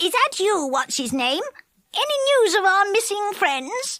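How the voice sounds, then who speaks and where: Put-on character voice, squeaky and extremely high, with very wide pitch swings. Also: moderate pace. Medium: read story.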